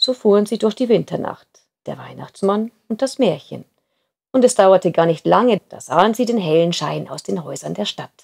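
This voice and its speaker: A woman speaks in a warm, gentle tone with vocal fry and very wide pitch swings. The sound is dry and close, with no echo. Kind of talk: storytelling, reading a fairy tale aloud. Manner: warm, gentle, unhurried narration.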